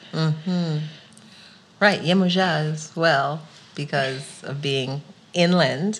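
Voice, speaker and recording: Pitched very deep and low, a woman talks with a New York accent and fairly even intonation. Her pace is very slow, with long, frequent pauses. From New York (Queens). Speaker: podcast host. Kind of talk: interview.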